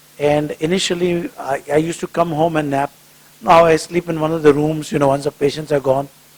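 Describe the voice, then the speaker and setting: Over noticeable background noise, a man talks at a fairly quick pace with a fairly high pitch and fairly even intonation, the sound dry and close with no echo. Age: 60s. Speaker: cardiologist. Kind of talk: public talk with Q&A. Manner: conversational.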